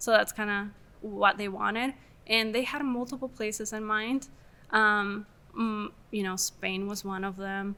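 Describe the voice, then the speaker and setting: In an Argentine accent, a woman speaks at a fairly slow pace with a fairly high pitch, fairly even intonation and a bright, sharp tone. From Argentina, Mendoza. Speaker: film producer. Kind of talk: casual interview chat.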